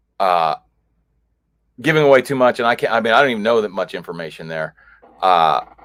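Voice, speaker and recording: Loudly, a man with an American accent speaks. His pitch sits in the medium range. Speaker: podcast host. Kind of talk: casual chat. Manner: halting.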